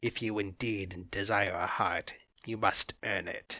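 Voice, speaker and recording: A man's raspy, gruff, put-on character voice, fairly low in pitch and fairly slow in pace. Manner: growling, stern.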